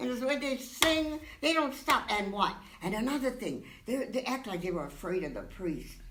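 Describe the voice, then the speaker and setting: A woman's animated, high-pitched voice at a moderate pace, with very wide pitch swings, audible room echo and noticeable background noise. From Hawaii. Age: 90s. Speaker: church parishioner. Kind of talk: interview.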